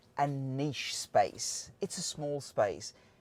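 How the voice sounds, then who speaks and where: A man with an Australian accent, in a dry, close sound with no echo. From Australia, Sydney. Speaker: automotive engineer, channel host. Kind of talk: casual channel introduction.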